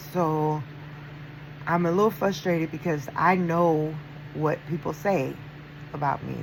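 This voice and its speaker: A woman talks at a fairly slow pace with fairly even intonation. Noticeable background noise runs underneath. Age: 50s. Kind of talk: casual talk to camera.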